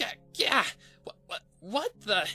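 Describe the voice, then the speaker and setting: Faint music plays behind a man doing a put-on character voice at an extremely high pitch. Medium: read story. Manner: brash, casual.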